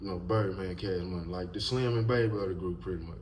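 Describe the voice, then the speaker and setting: A man's very deep, low voice, somewhat breathy and animated, with ordinary pitch variation, a fairly quick pace and audible room echo. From Mississippi, US South. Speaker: YouTube commentator. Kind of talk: casual commentary monologue.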